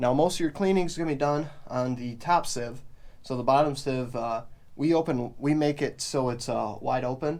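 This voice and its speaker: A man with an ordinary speaking voice, medium pitch, fairly even intonation, and a moderate pace. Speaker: farmer. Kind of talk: casual vlog tutorial.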